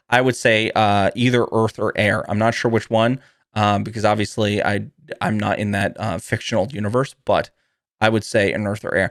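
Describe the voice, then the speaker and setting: A man puts on a raspy character voice at a medium pitch. He keeps a moderate pace and a fairly even intonation. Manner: talking fast.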